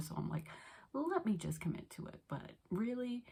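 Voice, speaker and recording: Soft-spoken and somewhat breathy, a woman with an American accent talks at a fairly quick pace, her dark, mellow tone carrying lively intonation. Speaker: book YouTuber. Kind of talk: casual vlog. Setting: parents' house at night.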